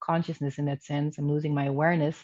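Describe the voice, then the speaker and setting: A woman speaks in a Dutch accent with a very deep, low pitch. Her intonation is monotone and flat. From Netherlands. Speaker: spiritual coach. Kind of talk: interview. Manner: talkative.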